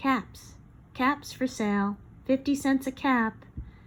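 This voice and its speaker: A woman puts on a character voice with a high pitch. She speaks at a fairly slow pace with fairly even intonation. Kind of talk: bedtime story. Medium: read story.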